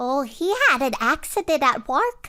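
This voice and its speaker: The speaker adopts a put-on character voice and moves at a moderate pace. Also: female-sounding voice, high pitch for a woman. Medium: comedy sketch. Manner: fussy, gossipy.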